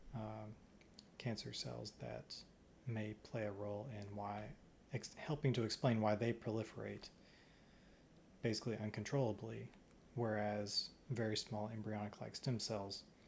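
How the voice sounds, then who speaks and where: A somewhat breathy man speaks at a fairly slow pace in a fairly low pitch, with fairly even intonation and long, frequent pauses. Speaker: stem cell researcher. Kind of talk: research vlog.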